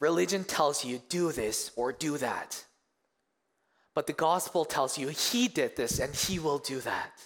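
Using a Korean accent, a man with a fairly high pitch talks at a fairly slow pace with lively intonation. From South Korea, moved to Canada in middle school. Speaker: youth pastor. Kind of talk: sermon. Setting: church stage with congregation.

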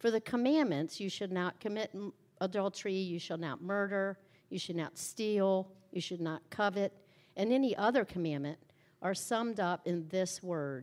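A woman in a normal speaking voice at medium pitch, with ordinary pitch variation and a moderate pace, over a very clean recording and silent background. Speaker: scripture reader. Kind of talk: reading aloud. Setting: church.

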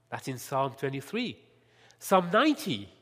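A man with a French accent speaks in a very clean recording with a silent background. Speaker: lay preacher. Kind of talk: sermon. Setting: church.

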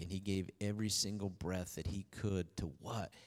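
A man talks with a fairly low pitch. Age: 40s. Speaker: pastor. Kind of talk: sermon. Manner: animated.

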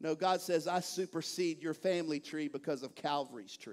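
Here a man with a Texan accent talks at a moderate pace, his pitch varying in an ordinary way. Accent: Texan Southern US. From East Texas. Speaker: pastor. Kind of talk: sermon. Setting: church. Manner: animated.

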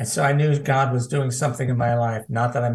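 A man with an American accent talks in a somewhat breathy voice at medium pitch, his intonation fairly even. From US Midwest, Cincinnati. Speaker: evangelist. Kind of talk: prophetic ministry. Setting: video call.

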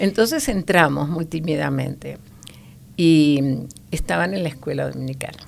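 Against noticeable background noise, a woman talks at a moderate pace with long, frequent pauses. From Argentina, La Pampa then Buenos Aires. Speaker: grandmother sharing faith story. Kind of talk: testimony. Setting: studio.

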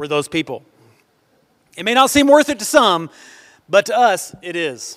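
A man with an American accent talks at a high pitch with very wide pitch swings and big swings in loudness. His moderate pace is broken by long, frequent pauses. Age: 40s. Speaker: pastor. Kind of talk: sermon. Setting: church with congregation.

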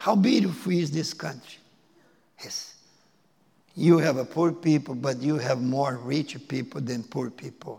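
Speaking at a fairly slow pace with long, frequent pauses, a man has a fairly high pitch, a dark, mellow tone, a somewhat breathy quality and ordinary pitch variation. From Brazil (Porto Alegre). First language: Portuguese. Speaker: missionary. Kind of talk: sermon. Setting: church. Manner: halting.

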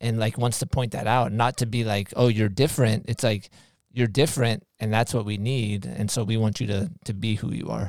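In a very clean recording over a silent background, a man with a normal speaking voice talks at a moderate pace, at medium pitch and with fairly even intonation. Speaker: podcast co-host. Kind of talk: casual chat.

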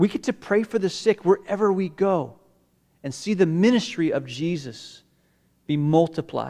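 Here a man speaks with a high pitch and a dark, mellow tone. His intonation is lively. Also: moderate pace, very clean recording, silent background. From Hong Kong and Malaysia (missionary kid). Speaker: pastor. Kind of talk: sermon. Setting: church.

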